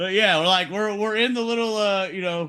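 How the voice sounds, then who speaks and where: In a raised, projected voice, a man with a high pitch and a bright, sharp tone speaks at a moderate pace with lively intonation over a quiet background. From Texas. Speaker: podcast host. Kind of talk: casual chat.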